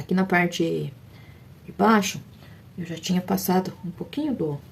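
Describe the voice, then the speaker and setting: A woman with a fairly low pitch talks at a moderate pace with lively intonation. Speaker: fabric painting teacher. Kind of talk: tutorial. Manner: soft-spoken.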